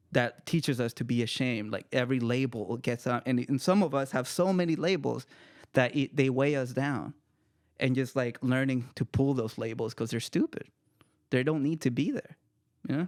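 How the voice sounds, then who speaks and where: In an ordinary speaking voice, a man with an American accent talks at a moderate pace, with medium pitch and ordinary pitch variation. The sound is dry and close with no echo, and the recording is very clean, with a silent background. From El Salvador, then Marin County, California. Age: 30s. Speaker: author and poet. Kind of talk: casual chat.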